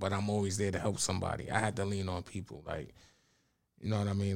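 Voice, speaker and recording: A man talks at a fairly low pitch. His intonation stays monotone and flat. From Bronx, New York. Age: 30s. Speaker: spoken word poet and youth mentor. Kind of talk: casual interview chat.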